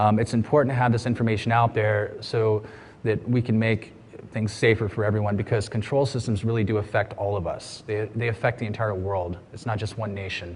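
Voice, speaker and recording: A man with an American accent talks very fast in a fairly low pitch. His voice is somewhat breathy and his intonation monotone and flat. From USA. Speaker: security researcher. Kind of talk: conference talk. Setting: stage with audience.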